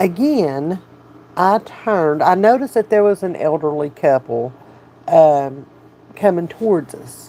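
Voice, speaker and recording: Speaking very slowly at a medium pitch, a woman has a Southern US accent. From US South. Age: 50s. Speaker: addiction support channel host. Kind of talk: livestream chat with viewers. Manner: animated.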